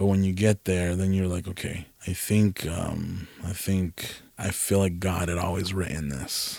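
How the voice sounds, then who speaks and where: With an American accent, a man speaks in a very deep, low pitch at a fairly slow pace, his intonation fairly even and hardly any pauses. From California, Mexican heritage. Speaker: content creator. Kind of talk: casual interview.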